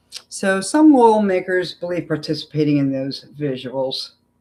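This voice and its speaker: A man with an American accent speaks at a fairly slow pace with lively intonation. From Philadelphia, US. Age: 60s. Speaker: political commentary YouTuber. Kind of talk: live stream commentary. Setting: home live stream. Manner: animated, opinionated.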